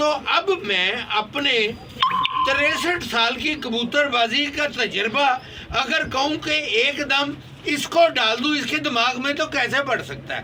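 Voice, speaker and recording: A man uses a raised, projected voice at an extremely high pitch, with ordinary pitch variation. Background noise is noticeable. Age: 70s. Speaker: pigeon fancier. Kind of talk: casual vlog advice talk.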